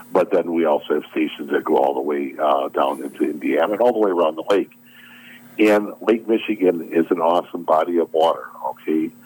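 Speaking at a fairly quick pace with an American accent, a man is heard over noticeable background noise. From US Midwest, southeastern Wisconsin. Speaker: boating safety volunteer officer. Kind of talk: radio interview.

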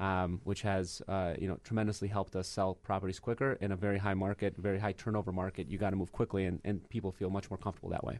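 Very fast and with hardly any pauses, a man speaks in an American accent at a fairly low pitch, his loudness very even and his intonation monotone and flat. The recording is very clean, with a silent background. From Michigan. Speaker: real estate agent. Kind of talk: casual chat. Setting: studio.

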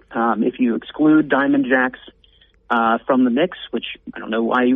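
A man talks at a medium pitch with ordinary pitch variation. His is an unremarkable speaking voice. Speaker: policy advocate. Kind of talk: interview.

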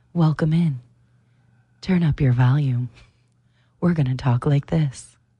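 Somewhat breathy and very deep, a woman's dark, mellow voice holds fairly even intonation and very even loudness at a fairly slow pace, with long, frequent pauses. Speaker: radio co-host. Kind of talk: casual chat. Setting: studio.

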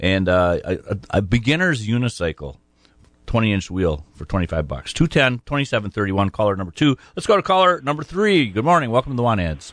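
A man with an American accent talks at medium pitch and a moderate pace, with very wide pitch swings. The sound is dry and close with no echo, set against a quiet background. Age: 60s. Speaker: radio host. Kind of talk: live radio show hosting, casual. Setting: radio studio, callers by phone. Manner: talkative, casual, friendly.

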